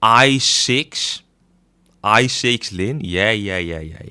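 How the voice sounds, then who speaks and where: A man speaks with a slight Dutch accent, a bright, sharp tone and lively intonation. The recording is very clean, with a silent background. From Netherlands. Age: 20s. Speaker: gaming streamer. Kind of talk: casual livestream chat.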